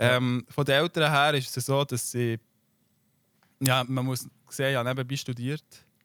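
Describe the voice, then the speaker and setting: Delivered at a fairly slow pace with long, frequent pauses, the monotone, flat speech sits in a very clean recording with a silent background. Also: man, medium pitch for a man, dry, close sound with no echo. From Switzerland. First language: Swiss German (speaking German). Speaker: YouTuber and streamer. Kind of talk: casual interview.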